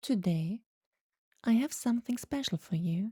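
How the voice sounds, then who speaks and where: Speaking at a fairly slow pace, a woman has a somewhat breathy, dark, mellow voice with a calm, soothing tone and lively intonation, heard in a dry, close sound with no echo. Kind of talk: sleep story.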